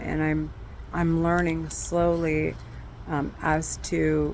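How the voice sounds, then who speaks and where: Amid audible room echo, a woman talks at a very slow pace. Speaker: vlogger sharing personal mental health experience. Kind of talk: personal video diary. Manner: halting, many fillers.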